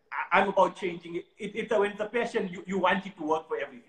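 This is a man speaking. His pace is very fast. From South Africa. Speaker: watch collector and social media creator. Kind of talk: live interview.

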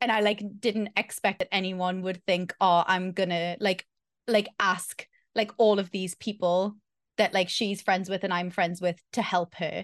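Dry and close with no echo, a woman's medium-pitched voice moves at a fairly slow pace in a monotone, flat way. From northeast England. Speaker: streamer and consultant. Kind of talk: casual chat.

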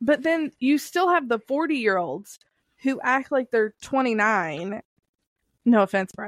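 A woman's high voice in a Southern US accent, fairly slow, with very wide pitch swings and a dry, close sound with no echo. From Kentucky, US South. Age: 30s. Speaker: podcast host. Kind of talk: casual chat.

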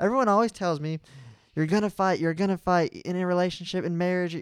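In a very clean recording with a silent background, a man talks very fast in a high voice with fairly even intonation and a dry, close sound with no echo. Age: 20s. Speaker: podcast co-host. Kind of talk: casual chat.

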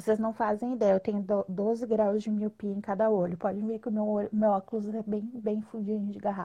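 A woman speaks in a flat monotone with a dark, mellow tone and fairly high pitch. She sounds somewhat breathy and hardly pauses. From Rio Grande do Sul, southern Brazil. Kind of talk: casual live interview. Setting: online live video stream.

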